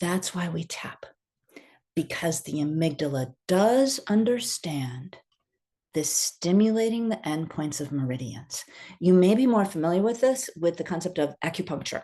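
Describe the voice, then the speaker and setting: Over a quiet background, a woman with a fairly low, dark, mellow voice speaks at a moderate pace, her pitch swinging very widely. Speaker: EFT tapping coach. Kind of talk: online workshop instruction.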